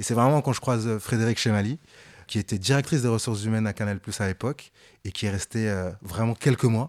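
A man's plain, everyday voice at medium pitch, fairly quick pace, dry, close sound with no echo. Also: ordinary pitch variation. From France, Paris suburbs housing estate. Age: 30s. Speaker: fashion journalist and content creator. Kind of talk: interview.

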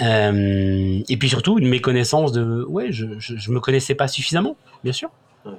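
Over noticeable background noise, a man talks at a fairly slow pace and medium pitch with ordinary pitch variation. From France, Saint-Étienne. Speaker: sales training business owner. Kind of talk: interview, personal testimony. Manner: halting, frequent repetitions.

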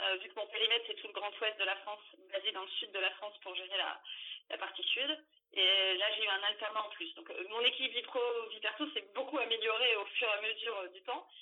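A woman's unremarkable speaking voice, fairly high in pitch and fairly quick, with ordinary pitch variation and big swings in loudness. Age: 30s. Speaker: HR manager. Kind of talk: interview.

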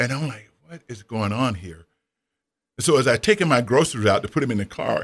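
At a moderate pace, an ordinary speaking voice with an American accent moves with lively intonation. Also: man, very clean recording, silent background. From US South. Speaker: retired former college basketball player and author. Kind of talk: interview. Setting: radio studio.

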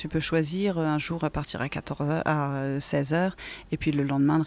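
Speech unfolds fairly slowly. The background is silent in this very clean recording. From Normandy, northwestern France. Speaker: automotive industry manager. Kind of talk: interview. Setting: French bakery. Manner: hesitant, many fillers.

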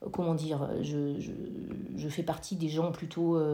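A woman speaks in a dark, mellow tone. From France, Corrèze (rural). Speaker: amateur improv actor. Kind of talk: casual interview. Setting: remote call. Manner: halting, many hesitations.

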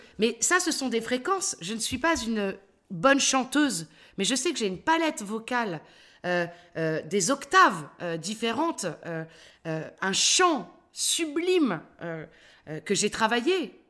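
A woman speaks at a fairly high pitch in a bright, sharp tone, her pitch swinging very widely. She talks very slowly with long, frequent pauses, in a very clean recording with a silent background. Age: 50s. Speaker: actress and voice-over artist. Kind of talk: interview. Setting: at her home.

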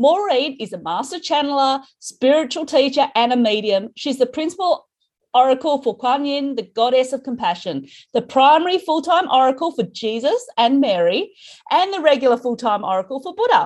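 A woman with an Australian accent talks at a moderate pace in a high pitch, her voice making very wide pitch swings. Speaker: spirituality podcast host. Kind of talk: casual interview.

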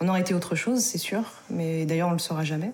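Here is a woman speaking. Her pitch is fairly low. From France, Isère. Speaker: adoptee and adoptee association member. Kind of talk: testimony.

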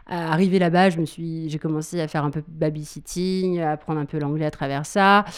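A woman speaks at a moderate pace with a fairly low pitch and hardly any pauses. Her intonation is monotone and flat. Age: 30s. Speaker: burlesque dancer and school owner. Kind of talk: interview. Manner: halting.

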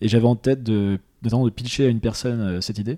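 In a plain, everyday voice, a man speaks at a medium pitch and moderate pace with fairly even intonation, the sound dry and close with no echo. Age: 20s. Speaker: entrepreneur. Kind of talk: casual interview.

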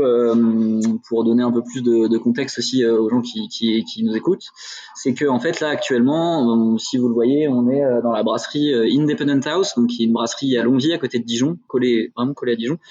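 A man speaks at a fairly quick pace in a medium pitch, his loudness very even and his pitch variation ordinary, with noticeable background noise. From Burgundy, France. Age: 30s. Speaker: brewery co-founder. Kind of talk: casual interview. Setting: in the brewery, remote video call.

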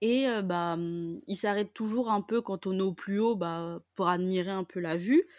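On a very clean recording with a silent background and a dry, close sound with no echo, a woman speaks fairly slowly at medium pitch, with ordinary pitch variation and hardly any pauses. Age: 20s. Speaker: nursery childcare assistant. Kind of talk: personal testimony interview. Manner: hesitant, many filler words.

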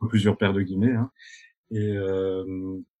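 A man talking at a fairly slow pace. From Belgium, Binche (Hainaut). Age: 20s. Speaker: eco-tourism entrepreneur. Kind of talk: interview conversation.

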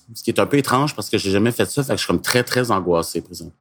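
A man speaks with a Quebec accent at a medium pitch. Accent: Québécois French. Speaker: author of youth novels. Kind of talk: scripted conversational podcast.

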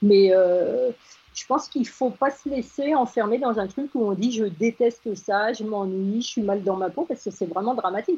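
A woman talks in a plain, everyday voice. Her pitch is fairly high, with ordinary pitch variation. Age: 60s. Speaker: agency founder. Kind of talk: radio interview.

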